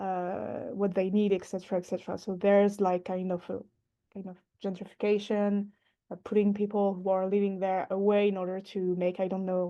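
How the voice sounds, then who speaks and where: In a non-native accent, a woman speaks at a fairly quick pace and medium pitch with monotone, flat intonation. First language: not English. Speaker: workshop participant working in urban planning. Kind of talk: online workshop discussion. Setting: video call. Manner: halting, many hesitations.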